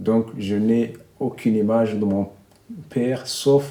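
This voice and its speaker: With ordinary pitch variation, a man's medium-pitched voice proceeds at a very slow pace. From central Burundi, rural. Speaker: documentary subject, journalist. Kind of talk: interview testimony.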